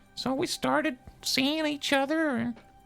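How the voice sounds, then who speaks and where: Faint music plays in the background as a woman uses a put-on character voice. Her pitch is high and her pace moderate. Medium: actual play. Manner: halting, rambling.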